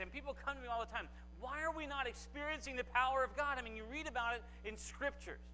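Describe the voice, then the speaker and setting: A man rattles off his words at a very fast pace with light background noise behind him. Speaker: guest preacher. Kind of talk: sermon. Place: church. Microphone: lapel.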